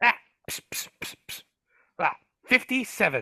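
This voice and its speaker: A man speaks at a fairly quick pace in a put-on character voice. His pitch is extremely high. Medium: audio drama. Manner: gruff, scornful.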